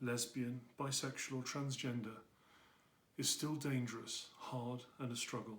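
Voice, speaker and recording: A man's somewhat breathy voice at a medium pitch. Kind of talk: personal commentary to camera.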